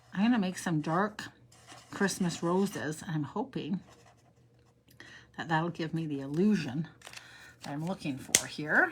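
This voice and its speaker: A woman with a fairly low pitch and ordinary pitch variation speaks somewhat breathily at a fairly slow pace, leaving long, frequent pauses. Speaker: crafting tutorial host. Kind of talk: live crafting tutorial. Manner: chatty, animated.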